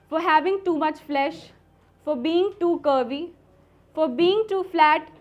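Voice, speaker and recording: In a quiet background, a woman with an extremely high pitch speaks at a fairly slow pace with ordinary pitch variation. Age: young. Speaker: poet. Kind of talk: spoken word poetry at open mic.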